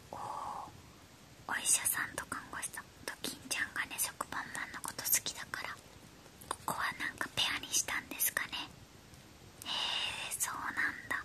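Whispering, a woman speaks at a moderate pace. Long, frequent pauses break up her speech. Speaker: toy unboxing creator. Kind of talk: whispered ASMR toy unboxing. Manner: whispered. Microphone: phone near.

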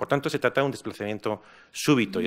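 A man is speaking. The background is quiet. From Spain. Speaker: philosopher and foundation director; speaker. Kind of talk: panel discussion. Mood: reflective, calm. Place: hall. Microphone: podium.

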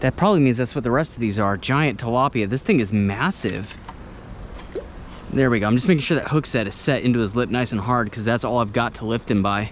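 A man at a fairly quick pace, with ordinary pitch variation, a dry sound with no echo and light background noise. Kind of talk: casual vlog commentary. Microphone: phone near.

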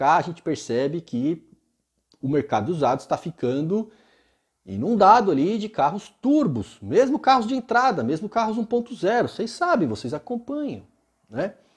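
With very wide pitch swings, a man talks at a fairly slow pace against a quiet background. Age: 40s. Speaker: used-car inspection specialist and video host; video host. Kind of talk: casual solo vlog talk to camera. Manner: animated. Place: home room. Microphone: earbuds.

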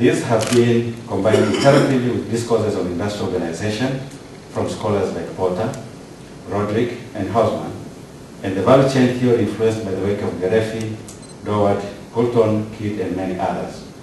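Fairly low in pitch, a man talks at a fairly quick pace with fairly even intonation. Room echo is audible, along with light background noise. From Tanzania. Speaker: PhD candidate. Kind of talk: prepared academic presentation. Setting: ceremony hall with audience and PA system. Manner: formal. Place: hall.

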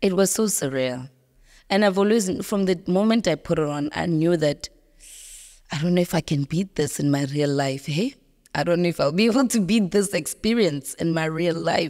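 Against a quiet background, a woman with a fairly low pitch speaks at a moderate pace in a dark, mellow tone with lively intonation. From South Africa. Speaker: actress. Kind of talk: interview. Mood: reflective, personal storytelling. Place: studio. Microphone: studio mic.

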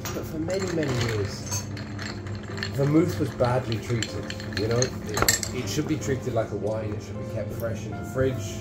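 A man talks at a moderate pace with ordinary pitch variation while clear music plays in the background. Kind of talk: interview answer. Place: bar. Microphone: phone near.

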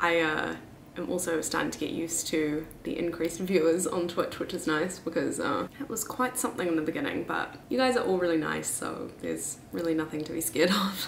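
Someone speaks at a fairly quick pace with hardly any pauses, amid audible room echo and light background noise. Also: woman, fairly low pitch for a woman. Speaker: vlogger. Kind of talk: casual vlog chat. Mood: cheerful, laughing. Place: home room. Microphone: camera far.

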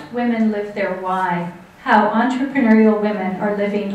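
Fairly even intonation at a fairly slow pace, with audible room echo. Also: woman. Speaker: event host introducing an author. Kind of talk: speaker introduction. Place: hall.

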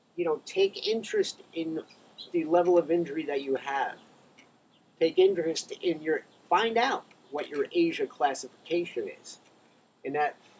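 A high-pitched man at a moderate pace, with ordinary pitch variation, long, frequent pauses and light background noise. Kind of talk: casual vlog chat. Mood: blunt, joking, warm. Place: garden. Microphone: camera far.

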